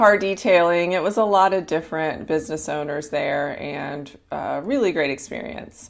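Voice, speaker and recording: A woman with a fairly low voice talks at a moderate pace with ordinary pitch variation and hardly any pauses over a quiet background. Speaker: health and life coach, podcast host. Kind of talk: casual unscripted podcast talk to listeners. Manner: conversational, warm, with hesitations and fillers.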